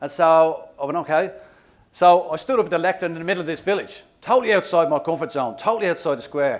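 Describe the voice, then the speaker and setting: An animated voice with an Irish accent at a very fast pace, on a very clean recording with a silent background. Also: man. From Ireland, Dublin. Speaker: motivational speaker and trek guide. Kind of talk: keynote speech.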